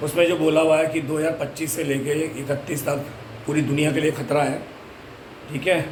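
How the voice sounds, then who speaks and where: Amid noticeable background noise and audible room echo, a man with a fairly high pitch speaks at a moderate pace in a monotone, flat intonation, with long, frequent pauses. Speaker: devotional vlogger. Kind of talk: casual vlog.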